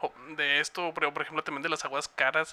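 At a moderate pace, the speaker talks in a bright, sharp tone with a Mexican accent. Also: man. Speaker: podcast producer and co-host. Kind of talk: casual chat.

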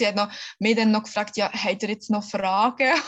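A somewhat breathy woman's voice at medium pitch and moderate pace. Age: 30s. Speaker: mother sharing birth story. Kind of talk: interview testimony. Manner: halting with many fillers.

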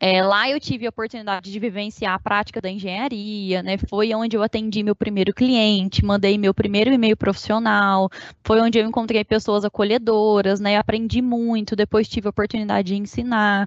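A woman talks at a fairly quick pace in a fairly high, flat monotone. She hardly pauses at all. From Minas Gerais, Brazil (Uberlândia). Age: 20s. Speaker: engineering project control manager. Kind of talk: interview.

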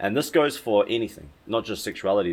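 The recording is very clean, with a silent background. A man talks at a fairly quick pace. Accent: New Zealand. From New Zealand, West Auckland. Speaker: spiritual teacher and retreat leader. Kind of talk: casual chat. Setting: at his home.

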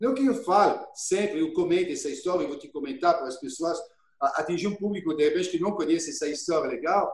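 Lively intonation marks speech delivered at a very fast pace. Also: man, high pitch for a man. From France, Burgundy (Dijon area). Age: 50s. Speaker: chef. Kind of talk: interview, personal storytelling. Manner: halting, repeats words.

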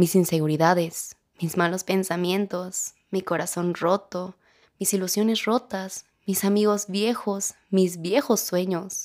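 A woman with a Mexican accent talks at a very slow pace and a medium pitch. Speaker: podcast host. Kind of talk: casual monologue; reflective reading. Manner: animated.

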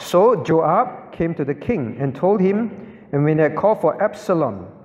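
Lively intonation from a man with a high voice at a fairly slow pace, amid noticeable background noise. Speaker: pastor teaching a Bible class. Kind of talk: lecture. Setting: church class with audience. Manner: instructional, asks audience questions.

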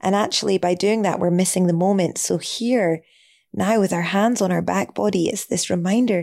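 Her voice is dark and mellow, calm and gentle, as this woman speaks at a medium pitch and moderate pace on a very clean recording with a silent background. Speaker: yoga and meditation teacher. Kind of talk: guided meditation. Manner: calm, gentle, with long pauses.

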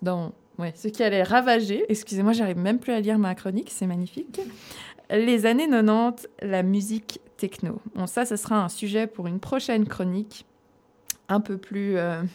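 At a moderate pace, a woman talks with ordinary pitch variation and long, frequent pauses. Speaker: radio music columnist. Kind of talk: reading a prepared segment aloud. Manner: stumbling reading.

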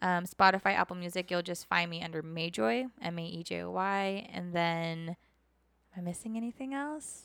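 Recorded very cleanly against a silent background, a woman with an ordinary speaking voice talks at a moderate pace in a fairly low pitch with lively intonation. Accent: American. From Southern California. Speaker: singer-songwriter. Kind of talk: casual interview. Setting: studio.

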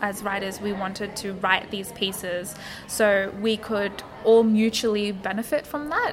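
Over noticeable background noise, a woman with an Australian accent speaks at a fairly slow pace, medium in pitch, with fairly even intonation. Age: 20s. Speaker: publication co-founder. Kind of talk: interview.

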